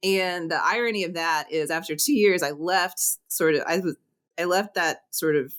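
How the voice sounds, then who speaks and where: A woman with a normal speaking voice and an American accent talks at a fairly low pitch and moderate pace, with ordinary pitch variation, on a very clean recording with a silent background. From Northwest Oklahoma. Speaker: agricultural research professor. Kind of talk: podcast interview.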